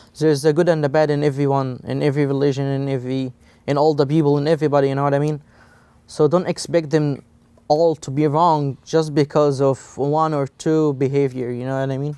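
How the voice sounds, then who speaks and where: A man speaks at a fairly quick pace with an Egyptian accent, his pitch fairly high. His tone is dark and mellow, the intonation monotone and flat. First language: Egyptian Arabic. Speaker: college student. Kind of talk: interview. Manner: halting, many fillers.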